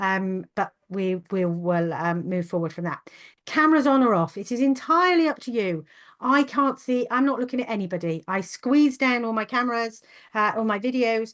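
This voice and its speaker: A woman with a normal speaking voice and a fairly high pitch talks at a moderate pace, her intonation lively. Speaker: webinar host, neurodiversity consultant. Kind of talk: webinar presentation. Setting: video call webinar.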